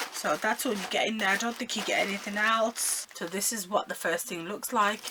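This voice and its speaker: Over noticeable background noise, a woman of medium pitch talks at a fairly quick pace with ordinary pitch variation. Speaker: beauty vlogger. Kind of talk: unboxing haul video. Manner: animated.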